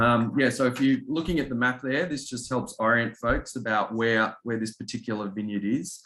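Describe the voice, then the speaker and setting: A man with a slight Australian accent speaks at a moderate pace and a medium pitch. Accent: subtle Australian. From Australia, Melbourne. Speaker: winery representative. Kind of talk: presentation at a virtual wine tasting. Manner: hesitant, many fillers.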